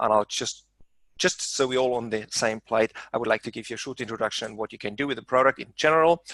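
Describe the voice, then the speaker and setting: His tone is bright and sharp, his pitch medium and his intonation fairly even, and the man's voice sounds dry and close with no echo. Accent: German. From Germany. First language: German. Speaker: software trainer. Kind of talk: webinar presentation.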